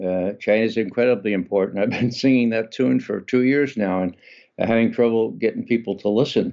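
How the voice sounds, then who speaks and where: An ordinary speaking voice in an American accent, with typical rises and falls in pitch. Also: man. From US Northeast, New York City (Bronx). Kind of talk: radio interview.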